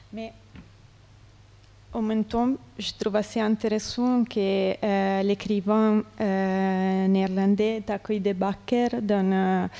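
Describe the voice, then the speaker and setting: A woman's medium-pitched, dark, mellow voice in a non-native accent, very slow with long, frequent pauses and monotone, flat intonation. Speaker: artist. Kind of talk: conference interview. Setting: conference with audience. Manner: halting, many hesitations.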